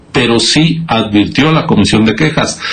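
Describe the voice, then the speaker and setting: The man's intonation is lively while his pace stays moderate. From Mexico. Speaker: electoral official; council guest. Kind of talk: news interview. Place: home room. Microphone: video call.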